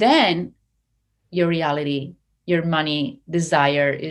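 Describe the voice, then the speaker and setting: A woman with an Italian accent speaks at a very slow pace in a very deep, low voice with ordinary pitch variation. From Italy, Treviso. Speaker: hypnotherapist and success coach. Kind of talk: casual interview chat. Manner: animated.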